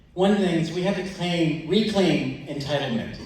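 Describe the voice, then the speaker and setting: A man with a fairly high voice speaks at a moderate pace. Noticeable background noise and audible room echo surround him. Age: 60s. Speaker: audience member at town hall. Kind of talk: question at public meeting. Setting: town hall with audience.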